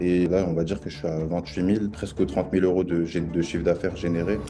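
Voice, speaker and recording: A man's very deep, low voice, dark and mellow in tone, at a fairly quick pace. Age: 20s. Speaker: online seller giving testimonial. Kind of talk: interview testimony. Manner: hesitant, many fillers.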